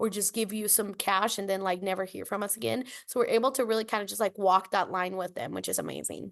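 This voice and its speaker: Against a quiet background, a woman with a Spanish accent and vocal fry speaks very fast with fairly even intonation. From Costa Rica, San Jose. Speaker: nonprofit leader. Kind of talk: interview.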